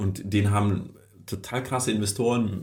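A somewhat breathy man's voice, fairly low in pitch, with audible room echo. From Kazakhstan, moved to Germany 1989 as a child. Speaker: startup founder. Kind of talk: interview. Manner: animated.

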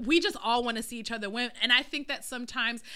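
The woman's voice is loud and bright, sharp in tone, with ordinary pitch variation. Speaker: podcast co-host. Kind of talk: casual chat.

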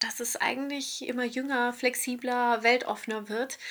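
A woman at a high pitch, with fairly even intonation and a very slow pace. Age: 30s. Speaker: radio presenter. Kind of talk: casual chat. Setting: remote call from hotel room.

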